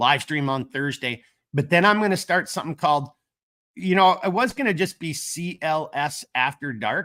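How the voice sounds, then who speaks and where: A man's bright, sharp voice with a Minnesotan accent, lively intonation and a moderate pace. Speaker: gear company owner, livestream host. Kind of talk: casual live stream chat. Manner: casual, filler-heavy.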